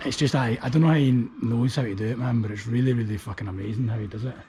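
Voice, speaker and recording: A man in a Glaswegian accent at a very fast pace, with fairly even intonation and noticeable background noise. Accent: Glaswegian Scottish. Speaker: street art vlogger. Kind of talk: casual walking vlog commentary. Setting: outdoors, walking through abandoned factory. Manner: casual, swearing-heavy chatty.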